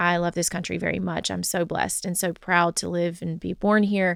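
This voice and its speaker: A woman's flat, monotone delivery at a moderate pace, on a very clean recording with a silent background. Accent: Southern US. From US South. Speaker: podcast co-host. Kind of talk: casual chat.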